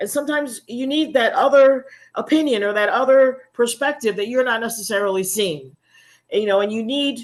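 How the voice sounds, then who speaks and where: Over a quiet background, a woman with a high voice talks at a fairly quick pace. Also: ordinary pitch variation. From US, Virginia Beach, Virginia. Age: 60s. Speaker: small business owner, food producer. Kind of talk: interview. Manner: halting, many fillers.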